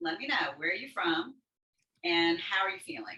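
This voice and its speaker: A woman uses a normal speaking voice at a medium pitch. She moves at a fairly quick pace with lively intonation. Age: 60s. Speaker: dance and fitness instructor. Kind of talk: online workshop instruction. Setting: video call. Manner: upbeat, encouraging.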